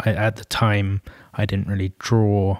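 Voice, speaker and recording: In a London accent, a man with a fairly low pitch speaks at a moderate pace, recorded with a dry, close sound and no echo. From London, England. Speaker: creative director. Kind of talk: interview. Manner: halting.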